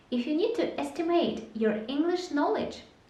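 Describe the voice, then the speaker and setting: With lively intonation and a high pitch, a woman speaks at a fairly slow pace amid noticeable background noise and audible room echo. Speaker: English teacher. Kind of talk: tutorial. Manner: clear.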